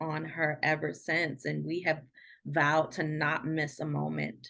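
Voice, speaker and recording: A woman with an American accent at a very slow pace, against a quiet background. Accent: DC accent, usually held back. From Washington DC. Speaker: podcast guest. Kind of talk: casual chat. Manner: halting, many fillers and repeats.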